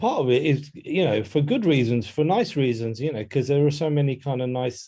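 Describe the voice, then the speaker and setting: A man talks at a fairly quick pace in a dark, mellow, somewhat breathy voice with ordinary pitch variation. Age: 50s. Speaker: music journalist and author. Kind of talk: podcast interview. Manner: hesitant, with many fillers and restarts.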